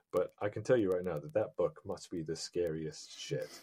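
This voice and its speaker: The man speaks at a moderate pace. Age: 40s. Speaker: comic book creator. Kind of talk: casual interview chat. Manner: hesitant, many fillers and repeats.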